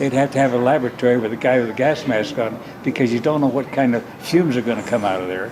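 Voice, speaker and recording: Noticeable background noise sits behind a man's voice. He speaks at a very fast pace with ordinary pitch variation. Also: medium pitch for a man. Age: 90s. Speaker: inventor, nuclear scientist, war veteran. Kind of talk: interview answer.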